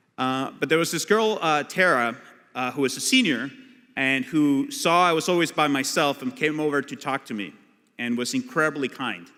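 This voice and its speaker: Speaking with a Spanish accent, a man uses a fairly high pitch, a bright, sharp tone, lively intonation and a moderate pace. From Colombia (Bogota). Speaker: immigration lawyer and activist. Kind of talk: keynote speech.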